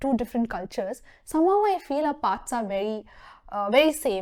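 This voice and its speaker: A woman with a Tamil accent speaks at a fairly quick pace in a high pitch, her dark, mellow tone swinging very widely in pitch over a very clean recording with a silent background. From southern India, Mysore, Karnataka. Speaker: HR professional. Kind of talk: interview talk show.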